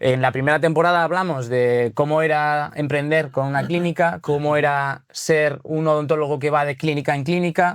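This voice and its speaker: In a Basque accent, a man with a fairly high voice speaks at a moderate pace with hardly any pauses. His intonation is fairly even, and the recording is very clean with a silent background. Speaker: podcast host, content director. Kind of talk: casual podcast interview.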